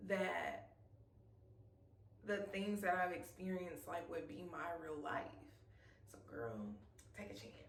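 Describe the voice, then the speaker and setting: Her speech carries audible room echo. The woman keeps to a moderate pace. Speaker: YouTube vlogger. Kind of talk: casual vlog talking to camera. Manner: animated.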